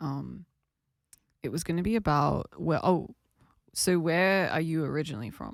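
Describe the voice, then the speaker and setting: A woman with an Australian accent talks in a very clean recording, the background silent. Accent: Australian, noticed by guest. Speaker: podcast host. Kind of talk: casual interview.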